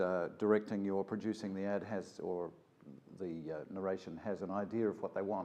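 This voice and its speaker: Talking at a fairly quick pace, a man with a New Zealand accent uses fairly even intonation and a fairly low pitch. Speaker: voice actor. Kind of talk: interview monologue. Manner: warm but authoritative; halting, many fillers.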